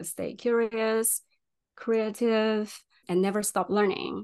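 A woman with a Chinese accent against a quiet background. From China. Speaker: UX designer. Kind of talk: interview.

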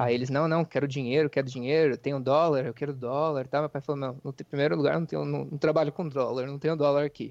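A man with a fairly high pitch speaks at a very fast pace with hardly any pauses and fairly even intonation, his voice dry and close with no echo over a quiet background. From interior of São Paulo state, Brazil. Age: 20s. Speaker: real estate agent and part-time streamer. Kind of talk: casual podcast interview.

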